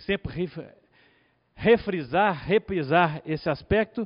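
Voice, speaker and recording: A man speaks with ordinary pitch variation. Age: 50s. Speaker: lawyer. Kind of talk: conference talk. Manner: halting, many fillers.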